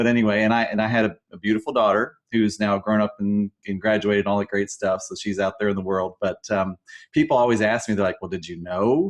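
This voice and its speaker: A man's fairly low voice, very fast with hardly any pauses, fairly even in intonation, over a quiet background. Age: 50s. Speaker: webinar co-host. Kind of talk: personal testimony. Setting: live webinar. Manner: halting, many fillers and repetitions.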